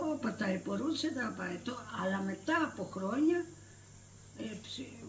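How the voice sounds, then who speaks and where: A woman speaks with a Cretan accent. Noticeable background noise and audible room echo surround her voice. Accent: Cretan Greek. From Crete, Greece. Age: 80s+. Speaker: retired villager. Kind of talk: oral history interview. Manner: halting.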